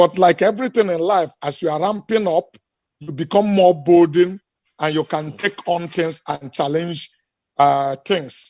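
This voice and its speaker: A man at a high pitch, fairly slow in pace, with a dry, close sound and no echo. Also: ordinary pitch variation. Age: 60s. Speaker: business executive. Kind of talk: interview.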